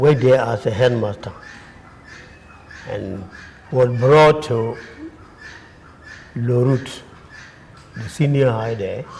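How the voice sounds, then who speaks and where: Pausing long and often, a man at medium pitch talks at a very slow pace with ordinary pitch variation amid noticeable background noise. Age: 60s. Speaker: religious brother and retired teacher. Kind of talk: interview. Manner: halting.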